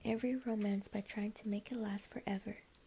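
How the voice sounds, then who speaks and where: Noticeable background noise sits behind a woman with a fairly high pitch. Her tone is calm and gentle, and her pace is fairly quick. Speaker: streamer and ASMR book reader. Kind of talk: audiobook-style ASMR book reading. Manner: soft, calm, gentle reading.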